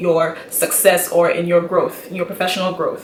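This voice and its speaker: A woman speaks with a medium pitch at a fairly quick pace. Noticeable background noise can be heard. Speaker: YouTuber, engineering graduate. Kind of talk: vlog talk to camera. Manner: fast; animated.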